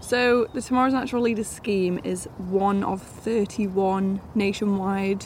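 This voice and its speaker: This woman has a normal speaking voice at a medium pitch. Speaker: wildlife trust trainee. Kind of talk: interview.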